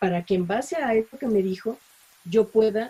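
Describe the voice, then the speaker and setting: At a fairly slow pace, a woman speaks in a dark, mellow tone that is somewhat breathy. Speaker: voice actor. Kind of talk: interview answer.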